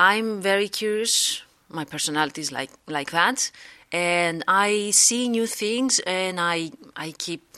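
In a Greek accent, the speaker has a bright, sharp tone and lively intonation, recorded very cleanly against a silent background. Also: woman. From Greece. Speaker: psychologist. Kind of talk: interview. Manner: hesitant, many fillers.

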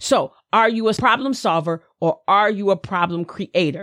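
Animated woman with a slight Southern US accent at a moderate pace, in a very clean, dry, close recording with a silent background and no echo. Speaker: podcast host, motivational speaker. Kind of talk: motivational talk.

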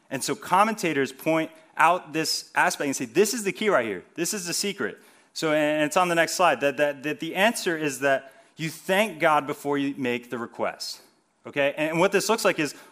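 Music plays in the background as the speaker talks in an American accent at a moderate pace. The intonation is lively. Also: man. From New Jersey, US. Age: 20s. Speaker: youth ministry leader. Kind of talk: sermon. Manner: casual, conversational.

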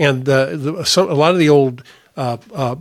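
Here a man with an American accent has an unremarkable speaking voice. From US Midwest, northern Indiana. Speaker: investment advisor. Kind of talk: solo podcast monologue.

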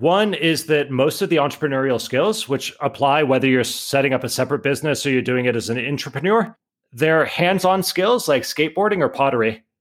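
Over a very clean recording with a silent background, a man with a plain, everyday voice talks at a fairly quick pace, using lively intonation and a fairly high pitch. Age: 30s. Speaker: entrepreneur and author. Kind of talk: interview.

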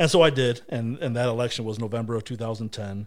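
In a plain, everyday voice, a man of medium pitch talks at a fairly quick pace with fairly even intonation. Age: 30s. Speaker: local politician. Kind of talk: casual chat.

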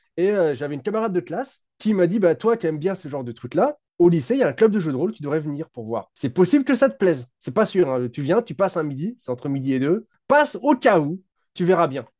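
A high-pitched man speaks at a very fast pace with very wide pitch swings and big swings in loudness. The sound is dry and close with no echo, over a quiet background. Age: 30s. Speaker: tabletop RPG designer and video creator. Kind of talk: casual interview chat.

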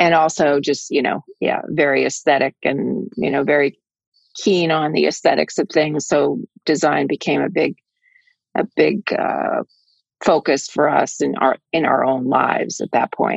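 A woman speaks with an American accent at a fairly slow pace. The sound is dry and close, with no echo. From US, Washington state and Boston area. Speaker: hotelier. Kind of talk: interview.

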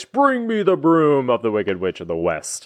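A man uses a booming put-on character voice at a medium pitch. He talks at a moderate pace over a quiet background.

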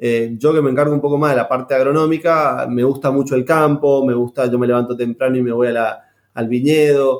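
Delivered at a fairly quick pace, the speech has very even loudness and a monotone, flat intonation. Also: man, medium pitch for a man. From Argentina, San Juan. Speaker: winemaker and agronomist. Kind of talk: interview.

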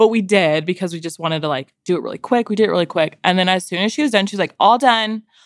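A woman with an American accent at medium pitch, going at a very fast pace with hardly any pauses and ordinary pitch variation, in a very clean recording with a silent background. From San Diego, California. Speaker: mother, podcast guest. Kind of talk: casual chat.

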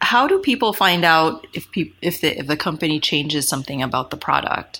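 Her tone is bright and sharp, with very wide pitch swings. The woman keeps a moderate pace. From Philippines. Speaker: product designer. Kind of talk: interview.

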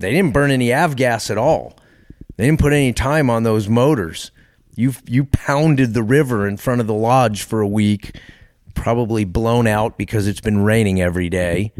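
A man speaks in an ordinary speaking voice with an American accent. His pitch is medium, with ordinary variation. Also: moderate pace. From Texas. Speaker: bush pilot, physician and fishing lodge owner. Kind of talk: casual interview.

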